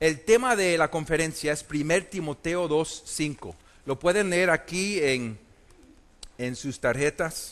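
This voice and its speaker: A man with a fairly high pitch, speaking at a very slow pace, his pitch varying in an ordinary way. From Puerto Rico, then US from age eight. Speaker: preacher. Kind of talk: conference sermon. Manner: hesitant, many fillers.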